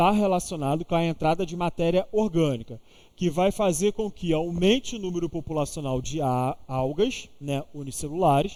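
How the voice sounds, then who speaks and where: A man's high voice with lively intonation at a fairly slow pace. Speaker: teacher. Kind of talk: online exam-prep lecture. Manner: casual, interactive.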